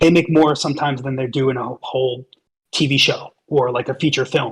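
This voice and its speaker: In an American accent, a man talks at a fairly quick pace with fairly even intonation. His voice is fairly high and somewhat breathy. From New York. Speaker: voiceover actor and merch vendor. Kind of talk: casual chat. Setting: online voice chat.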